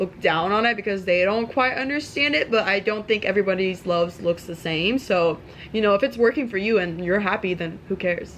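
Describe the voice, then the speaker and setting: An unremarkable speaking voice from a woman at medium pitch, fairly quick, with ordinary pitch variation. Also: hardly any pauses. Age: 20s. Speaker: podcast host. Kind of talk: casual chat.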